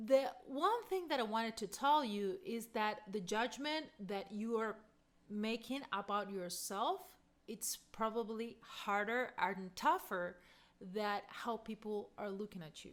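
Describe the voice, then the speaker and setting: Here a woman speaks with a non-native accent at a very slow pace. Her pitch is fairly high and her intonation lively. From Argentina. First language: Spanish. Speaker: voice coach. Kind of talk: casual talk to camera.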